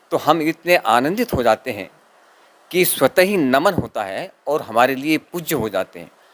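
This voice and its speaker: A man's fairly high voice with very wide pitch swings and big swings in loudness, in a dry, close sound with no echo. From Rajasthan. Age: 60s. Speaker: poet's son-in-law. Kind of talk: interview.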